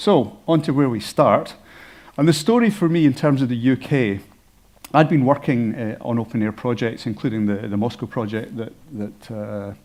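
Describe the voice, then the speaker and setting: Speaking with a Scottish accent, a man keeps a medium pitch, a moderate pace and ordinary pitch variation. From Scotland. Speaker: health informatician and former doctor. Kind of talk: conference presentation.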